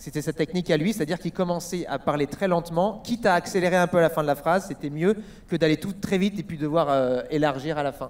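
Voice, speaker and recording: Talking at a very fast pace, a man with a high voice shows ordinary pitch variation. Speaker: voice actor. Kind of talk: convention panel talk. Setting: stage with audience.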